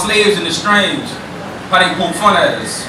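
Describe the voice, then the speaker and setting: A man's raised, projected, high-pitched voice at a very fast pace, amid noticeable background noise and audible room echo. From New Orleans. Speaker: spoken word poet. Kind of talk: spoken word performance. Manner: rhythmic, emphatic delivery.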